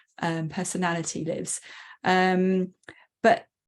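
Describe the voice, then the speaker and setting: Quietly, a woman speaks at a medium pitch. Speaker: coach. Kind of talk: casual chat.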